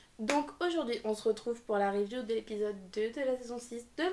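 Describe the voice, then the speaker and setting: A woman speaks over noticeable background noise. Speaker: anime reviewer youtuber. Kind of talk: casual video review. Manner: animated.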